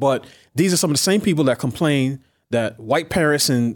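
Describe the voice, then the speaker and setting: The recording is very clean, with a silent background. A man talks in an unremarkable speaking voice at medium pitch, with ordinary pitch variation. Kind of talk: interview. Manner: measured, thoughtful.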